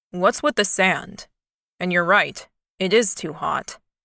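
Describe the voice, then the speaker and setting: A woman's put-on character voice, medium in pitch, at a fairly slow pace. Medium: read story.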